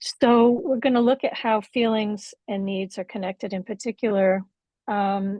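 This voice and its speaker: A woman speaks in an ordinary speaking voice at a medium pitch. Her pace is fairly slow, her intonation fairly even. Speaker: workshop facilitator. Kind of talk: workshop teaching.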